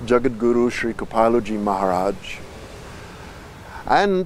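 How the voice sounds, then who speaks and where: A man talks at a moderate pace and a medium pitch, in a normal speaking voice. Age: 60s. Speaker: spiritual teacher. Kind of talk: life story told to camera.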